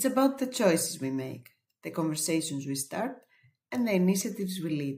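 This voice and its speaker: With a Greek accent, a woman speaks at a fairly quick pace and a fairly low pitch, her voice moving through very wide pitch swings. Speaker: webinar presenter. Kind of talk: webinar presentation.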